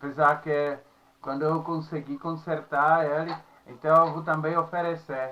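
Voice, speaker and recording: Someone with a Czech accent speaks at a very slow pace with fairly even intonation. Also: man. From Czech Republic. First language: Czech (speaking Portuguese). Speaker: university professor. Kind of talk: lecture. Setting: recorded at home. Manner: halting, with filler sounds.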